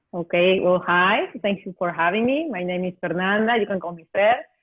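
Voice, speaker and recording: A woman talks with a Spanish accent. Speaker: nutritionist and researcher. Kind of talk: interview.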